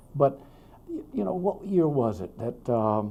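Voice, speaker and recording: Speaking at a very slow pace with an American accent, a man uses a fairly high pitch and very wide pitch swings. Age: 70s. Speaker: state legislator. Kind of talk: casual interview. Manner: halting.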